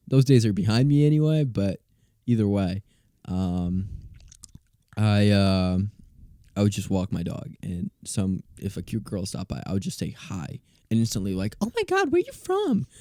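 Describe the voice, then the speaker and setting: Heard dry and close with no echo, a man speaks at a moderate pace in a fairly low, dark, mellow voice, with ordinary pitch variation and long, frequent pauses. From Brazil. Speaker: college student and musician. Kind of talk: casual chat.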